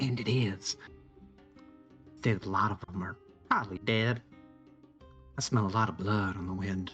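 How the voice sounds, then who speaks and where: A man's quiet, breathy, whispered put-on character voice at a moderate pace, with long, frequent pauses and music in the background. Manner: whispering conspiratorially.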